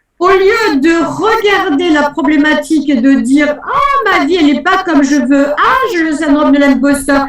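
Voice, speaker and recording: An animated woman's voice, high-pitched, with ordinary pitch variation and audible room echo. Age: 60s. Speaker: life coach and hypnotherapist. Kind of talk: live webinar coaching talk. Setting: online webinar.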